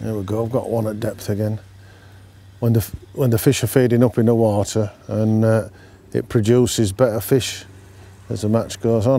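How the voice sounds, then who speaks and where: Dry with no echo, a man's dark, mellow voice comes through in a Yorkshire accent. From North Yorkshire. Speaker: angler, brand ambassador; presenter. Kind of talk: fishing tutorial chat. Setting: outdoors at a fishing lake. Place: waterside. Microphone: lapel.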